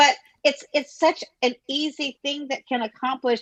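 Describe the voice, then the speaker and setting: Her pitch varies in an ordinary way as the woman talks. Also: dry, close sound with no echo. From Hawaii. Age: 60s. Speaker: realtor. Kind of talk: casual chat. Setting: live stream.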